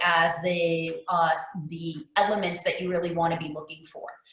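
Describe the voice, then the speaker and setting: There is noticeable background noise and audible room echo as a woman talks at a moderate pace. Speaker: real estate investor. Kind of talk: presentation. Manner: hesitant, many fillers.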